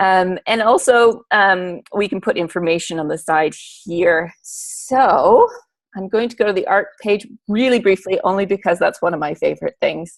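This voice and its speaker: In an ordinary speaking voice, a woman talks at a moderate pace and medium pitch, with ordinary pitch variation, on a very clean recording with a silent background. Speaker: teacher. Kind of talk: presentation.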